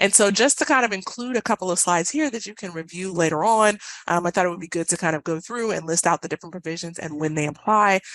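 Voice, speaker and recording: A woman at a medium pitch with ordinary pitch variation, very fast and with hardly any pauses, in a dry, close sound with no echo against a quiet background. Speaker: benefits compliance specialist presenting a webinar. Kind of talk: webinar presentation. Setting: online webinar.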